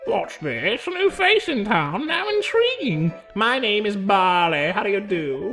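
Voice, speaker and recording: Clear music plays in the background. Over it comes a put-on character voice with a fairly high pitch. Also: moderate pace. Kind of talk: exaggerated character voice. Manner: overly polite, theatrical.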